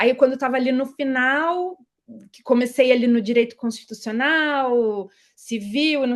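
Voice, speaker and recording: With a high voice and ordinary pitch variation, a woman keeps a moderate pace. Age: 30s. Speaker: tax auditor, exam-pass interviewee. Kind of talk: interview.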